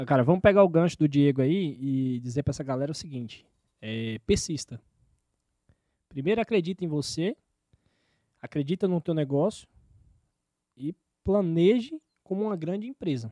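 Against a quiet background, a man with a fairly high pitch and a dark, mellow tone talks at a moderate pace with long, frequent pauses, the sound dry with no echo. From Bahia, Brazil (Vitória da Conquista); Bahia, Brazil. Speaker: açaí delivery business owner; podcast guest. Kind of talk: podcast interview. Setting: studio, live stream. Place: studio. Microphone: studio mic.

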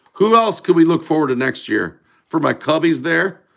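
Against a quiet background, a man speaks with a bright, sharp tone and vocal fry. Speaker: card breaker streamer. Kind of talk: casual live stream chat. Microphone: phone near.

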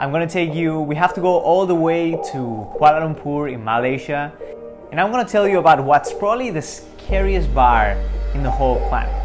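A man at a fairly quick pace, with clear music in the background. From Spain. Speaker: travel vlogger. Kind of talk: casual talk to camera. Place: home room. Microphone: lapel.

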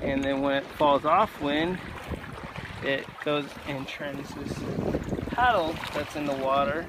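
The man's voice has a dry sound with no echo, set against loud background noise. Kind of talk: casual vlog chat. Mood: relaxed, admiring. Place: boat. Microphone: phone near.

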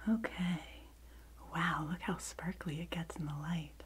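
Soft-spoken and gentle in tone, a woman talks at a very slow pace with ordinary pitch variation. Loud background noise runs behind her. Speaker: video creator. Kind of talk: soft-spoken role-play show-and-tell, ASMR-like. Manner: soft-spoken gentle ASMR voice. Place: home room. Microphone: phone near.

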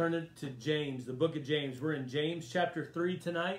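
A man talks at a moderate pace in a somewhat breathy voice with ordinary pitch variation, and room echo is audible. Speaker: pastor leading Bible study. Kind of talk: casual address to an online congregation. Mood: warm, celebratory. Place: home room. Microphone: phone near.

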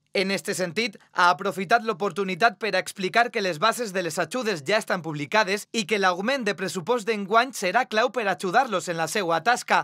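The pace is moderate. Pauses are nearly absent. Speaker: news reader. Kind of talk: news reading.

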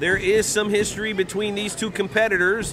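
Over noticeable background noise, a man uses a raised, projected voice that sits high in pitch. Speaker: wrestling commentator. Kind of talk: live wrestling commentary. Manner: animated, excitable play-by-play.

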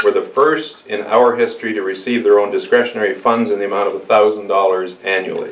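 A man talks at a moderate pace. Room echo can be heard. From Ontario. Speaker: mayor and election candidate; mayor, election candidate. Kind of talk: campaign speech to supporters. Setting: church hall with audience. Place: hall.

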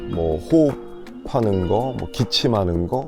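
Over music in the background, a man talks in a relaxed tone with very wide pitch swings. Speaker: voice actor and TV narrator. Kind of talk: interview answer, promotional testimonial. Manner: relaxed, conversational.

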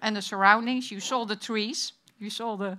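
A woman talks in a Dutch accent with a bright, sharp tone. Her pitch varies in an ordinary way. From Netherlands. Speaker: conference moderator and fire chief. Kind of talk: session moderation. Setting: stage with audience. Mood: friendly, light. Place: hall. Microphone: podium.

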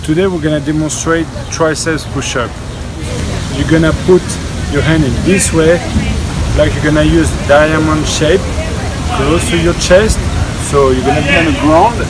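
Music sounds behind the voice. The man leaves long, frequent pauses. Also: moderate pace. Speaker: fitness trainer. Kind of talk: tutorial. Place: garden. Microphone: camera far.

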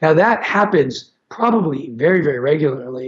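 Somewhat breathy and fairly high in pitch, a man speaks with lively intonation at a moderate pace over a quiet background. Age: 50s. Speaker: infectious disease physician; guest. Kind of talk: interview. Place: home room. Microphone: video call.

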